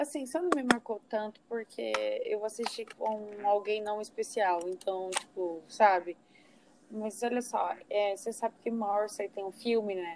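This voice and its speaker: A woman with an unremarkable speaking voice, fairly high in pitch with ordinary pitch variation, at a fairly slow pace. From Minas Gerais, Uberaba. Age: 20s. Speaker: podcast host. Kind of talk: casual chat.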